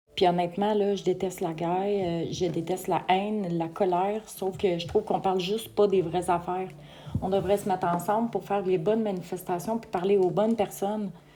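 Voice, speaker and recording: Speaking fairly quickly with a Quebec accent, a woman keeps a medium pitch and monotone, flat intonation. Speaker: vlogger. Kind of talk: casual opinion vlog. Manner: hesitant, frequent fillers; tremulous voice.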